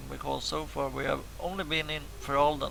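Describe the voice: A man talks at a fairly quick pace in a raspy voice with vocal fry, his fairly high pitch moving little.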